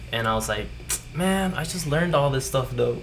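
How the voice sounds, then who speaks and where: A man's voice comes with audible room echo. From Puerto Rico and Florida. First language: Spanish. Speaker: guest musician. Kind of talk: casual chat.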